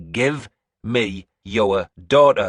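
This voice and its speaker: A man does a put-on character voice at a medium pitch with ordinary pitch variation. The sound is dry and close with no echo, and there is hissing. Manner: hissed, each word separate, menacing.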